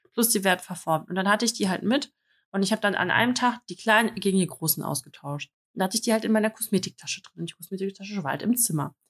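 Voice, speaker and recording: A woman talks very fast, her voice somewhat breathy. The sound is dry and close, with no echo. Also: medium pitch for a woman, ordinary pitch variation. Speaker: podcast co-host. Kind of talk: casual chat.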